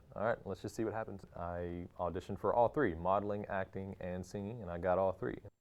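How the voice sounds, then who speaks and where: Speaking at a fairly quick pace, a man with a slight Texas accent keeps his fairly low pitch and fairly even intonation. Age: 30s. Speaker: actor. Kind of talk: interview monologue.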